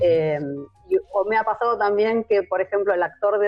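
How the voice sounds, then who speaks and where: A woman with a medium-pitched voice speaks as music plays behind her. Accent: Rioplatense. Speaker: audiovisual translator. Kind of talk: interview answer.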